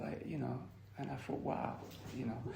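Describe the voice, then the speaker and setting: Audible room echo around a man's voice at a medium pitch. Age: 60s. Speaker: recovering addict sharing at a meeting. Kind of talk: testimony. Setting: recovery meeting, recorded. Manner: hesitant, filler-heavy.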